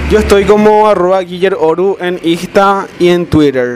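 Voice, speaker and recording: A man talks with ordinary pitch variation while noticeable background noise carries on behind him. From Areguá, Paraguay. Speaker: podcast host, accountant. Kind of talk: casual chat.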